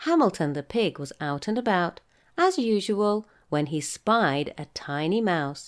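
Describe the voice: Lively intonation over plain reading aloud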